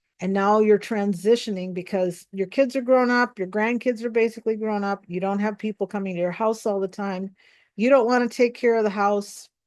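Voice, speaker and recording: Against a quiet background, a woman with an American accent speaks at a fairly quick pace, her medium pitch showing ordinary variation. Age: 60s. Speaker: pastor and pastoral counselor. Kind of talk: spiritual teaching talk.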